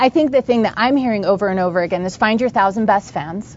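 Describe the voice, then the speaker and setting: With a normal speaking voice, a woman talks at a fairly high pitch with ordinary pitch variation. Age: 30s. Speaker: entrepreneur. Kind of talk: interview.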